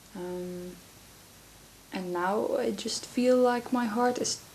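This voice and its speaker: A woman with a Dutch accent speaks at a fairly high pitch, with ordinary pitch variation. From Netherlands. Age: 20s. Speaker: vlogger. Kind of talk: casual chat. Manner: soft-spoken; halting.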